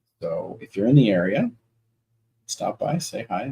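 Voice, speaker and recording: This is a man speaking with an American accent. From New England, Nashua NH near Boston. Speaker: author. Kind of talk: casual livestream chat. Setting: home office livestream. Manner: casual, filler-heavy.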